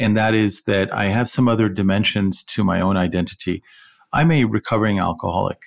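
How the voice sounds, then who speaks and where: At a fairly quick pace, a man talks in a plain, everyday voice, fairly low in pitch and very even in loudness. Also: ordinary pitch variation. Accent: American. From Iran, raised partly in California. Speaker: podcast co-host. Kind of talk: casual chat.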